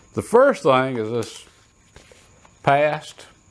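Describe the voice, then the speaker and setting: Speaking in a relaxed tone with a Southern US accent, a man talks at a fairly slow pace in a fairly high pitch. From US South. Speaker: shooting and reloading YouTuber. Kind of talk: casual show-and-tell tutorial. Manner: relaxed, conversational with hesitations.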